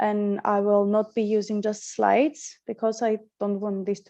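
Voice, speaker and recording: Over a quiet background, a woman with a medium-pitched voice and a dark, mellow tone speaks at a moderate pace. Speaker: young medical doctor, workshop facilitator. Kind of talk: online workshop presentation. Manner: halting, with many fillers and restarts.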